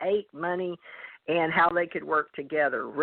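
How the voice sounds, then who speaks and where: With a Southern US accent, a woman speaks fairly quickly in a fairly low pitch. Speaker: psychic reader. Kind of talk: psychic reading on call-in radio.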